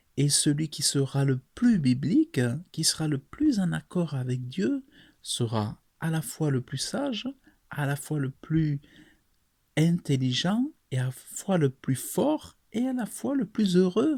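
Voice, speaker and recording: Delivered at a very slow pace, the voice has a dark, mellow tone and very wide pitch swings, with a dry, close sound and no echo. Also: man, fairly high pitch for a man. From France. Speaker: preacher. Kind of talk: sermon to camera.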